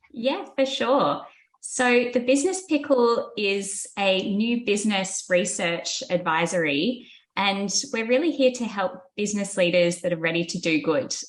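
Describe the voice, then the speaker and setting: A woman speaks with an Australian accent at a fairly slow pace. Her pitch sits in the medium range. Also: lively intonation. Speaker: business researcher. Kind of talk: podcast interview.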